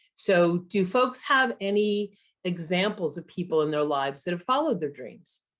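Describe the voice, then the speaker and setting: At a moderate pace, a woman speaks in a medium pitch with very wide pitch swings. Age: 60s. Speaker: workshop leader. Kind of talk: online workshop.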